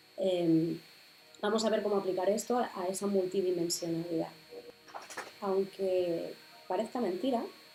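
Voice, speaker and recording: A woman speaks at a fairly slow pace and medium pitch, with fairly even intonation. Her pauses are long and frequent, and music plays in the background. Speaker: spirituality podcaster. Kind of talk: explanatory video podcast talk.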